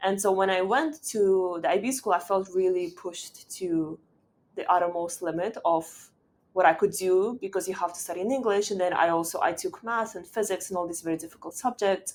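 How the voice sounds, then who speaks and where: A woman with a Russian accent speaks fairly quickly at a medium pitch, her pitch varying in an ordinary way. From Uzbekistan, Tashkent. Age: 20s. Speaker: startup founder and CEO. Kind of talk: podcast interview.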